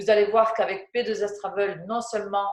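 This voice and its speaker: Her voice sits at a medium pitch. She is a woman with a southwestern French accent. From southwest France. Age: 30s. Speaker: flight attendant turned network-marketing presenter. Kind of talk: sales presentation. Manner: hesitant, many fillers.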